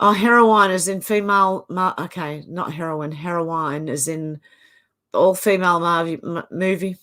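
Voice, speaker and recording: A woman's fairly low voice in an Australian accent, bright and sharp in tone, with fairly even intonation at a fairly slow pace, on a very clean recording with a silent background. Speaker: livestream host reading viewer comments. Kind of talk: casual live chat reading comments.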